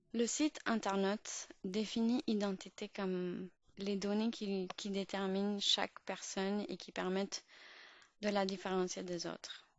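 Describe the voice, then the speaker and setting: Fairly slow, fairly evenly intoned speech from a woman at a medium pitch. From Pakistan. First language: Urdu (speaking French). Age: 20s. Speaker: podcast host. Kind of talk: podcast monologue. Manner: halting, many fillers and restarts.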